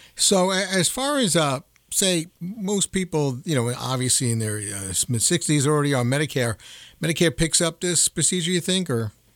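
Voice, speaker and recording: A fairly high-pitched man speaks at a moderate pace with very wide pitch swings. The recording is very clean, with a silent background and a dry, close sound with no echo. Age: 50s. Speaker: radio show host. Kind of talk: interview. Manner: halting.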